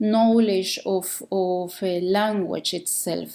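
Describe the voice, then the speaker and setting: A very slow delivery with a Mexican accent, a dark, mellow tone and ordinary pitch variation, on a very clean recording with a silent background. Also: woman. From Mexico. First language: Spanish. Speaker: podcast host. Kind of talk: podcast monologue. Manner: slow, deliberate; halting, many fillers.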